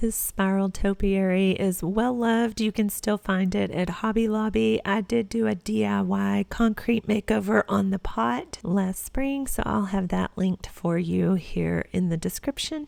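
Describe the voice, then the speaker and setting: A woman with a Texas accent at a fairly slow pace, with hardly any pauses and very even loudness. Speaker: home decor vlogger. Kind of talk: tutorial voiceover narration. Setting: at home.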